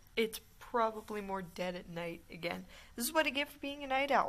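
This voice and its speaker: Fairly high in pitch, a woman's voice moves at a moderate pace. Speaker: gaming youtuber. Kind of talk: gameplay commentary. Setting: game room in a building basement at night. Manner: soft-spoken, keeping voice down.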